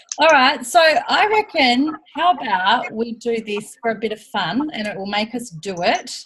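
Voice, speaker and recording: Very wide pitch swings from a woman, delivered at a fairly slow pace. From Australia. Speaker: team leader in direct sales. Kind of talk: team training call. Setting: video call. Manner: animated.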